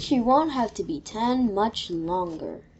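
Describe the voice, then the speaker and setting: Using a put-on character voice, a woman speaks at a fairly high pitch. Her pace is fairly slow. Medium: read story. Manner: cheerful, mildly confused.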